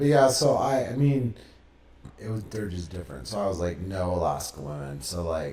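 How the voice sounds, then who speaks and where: Amid noticeable background noise and audible room echo, a man with an American accent speaks at a moderate pace in a very deep, low voice, his pitch swinging very widely. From Texas, Austin. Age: 20s. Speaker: podcast guest, former religious community member. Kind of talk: interview. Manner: casual.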